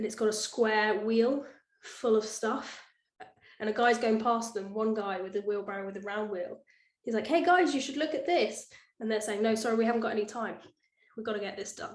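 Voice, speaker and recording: A fairly high-pitched woman's voice with ordinary pitch variation, at a fairly quick pace, with audible room echo. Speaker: presenter summarizing a book. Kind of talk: talk presentation. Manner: fast.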